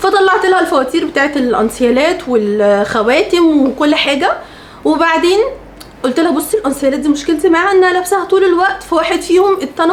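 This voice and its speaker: A woman's extremely high-pitched, animated voice with an Egyptian accent, lively intonation, a fairly quick pace and noticeable background noise. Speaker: lifestyle vlogger. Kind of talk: storytelling vlog.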